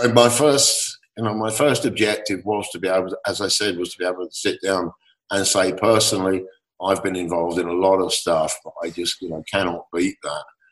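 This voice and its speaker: A man with an English accent talks at a fairly quick pace and a fairly low pitch. His loudness swings a lot, while his pitch varies in an ordinary way. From England. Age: 60s. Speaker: composer and lyricist, former rock keyboardist. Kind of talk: interview. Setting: remote call.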